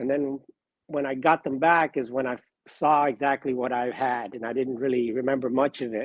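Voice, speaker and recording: A man speaks at a moderate pace. His pitch is medium, and he has an unremarkable speaking voice. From Miami, Florida (born in Cuba, moved at four). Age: 60s. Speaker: sports card collector. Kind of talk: casual interview.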